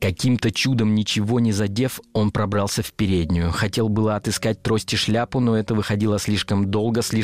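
Someone reads aloud in a natural voice, with fairly even intonation.

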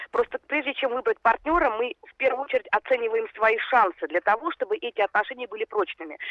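Talking at a very fast pace with hardly any pauses, a woman with a high pitch swings very widely in pitch, the sound dry and close with no echo. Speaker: psychologist. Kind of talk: interview. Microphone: phone line.

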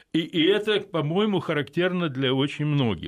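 With an ordinary speaking voice, a man talks at a fairly slow pace with lively intonation. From Odessa, Ukraine. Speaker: philosopher and political scientist. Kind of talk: radio interview. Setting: radio studio.

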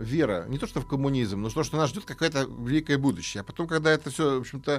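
Fairly quick and fairly high-pitched, a man's voice swings very widely in pitch on a very clean recording with a silent background. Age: 50s. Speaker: history professor. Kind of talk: interview. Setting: studio. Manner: hesitant, filler-heavy.

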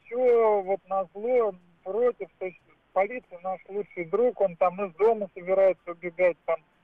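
Speaking at a fairly slow pace, a man with a high pitch keeps his intonation fairly even. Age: 40s. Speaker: caller. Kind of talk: phone-in call.

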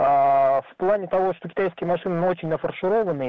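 A man talks with ordinary pitch variation. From Ulan-Ude, Buryatia, Siberia. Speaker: caller, hunter and fisher. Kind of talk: phone call-in. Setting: phone call. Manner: halting, many fillers.

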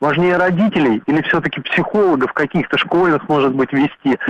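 A man has a normal speaking voice, pitched fairly high. He goes at a moderate pace in a dry, close sound with no echo. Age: 30s. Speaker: radio caller. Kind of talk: call-in comment. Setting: phone call.

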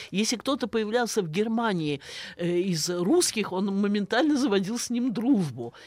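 Using an ordinary speaking voice, a woman talks at a medium pitch and a moderate pace with lively intonation. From Russia, Saratov (Volga region). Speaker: philology professor. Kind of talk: radio interview. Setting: studio.

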